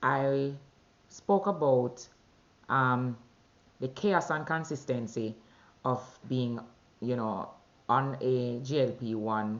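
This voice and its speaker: A woman with a Jamaican accent speaks in a very deep, low pitch, with ordinary pitch variation. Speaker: vlogger sharing weight-loss journey. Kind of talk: personal video diary. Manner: conversational with fillers.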